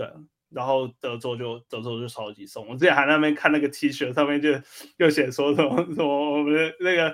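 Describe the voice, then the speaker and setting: An unremarkable speaking voice moves at a moderate pace with fairly even intonation but big swings in loudness. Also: man, fairly high pitch for a man. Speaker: podcast host. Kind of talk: casual chat.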